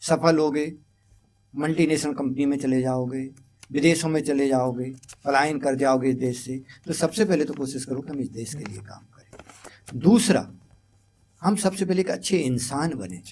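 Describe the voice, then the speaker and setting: With lively intonation and big swings in loudness, a man speaks in a fairly high pitch and a plain, everyday voice. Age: 60s. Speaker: educator. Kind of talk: interview.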